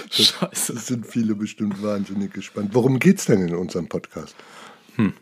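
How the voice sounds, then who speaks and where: A man's ordinary speaking voice, fairly low in pitch, at a moderate pace. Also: ordinary pitch variation. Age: 50s. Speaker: dance judge and coach, podcast co-host. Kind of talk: casual chat.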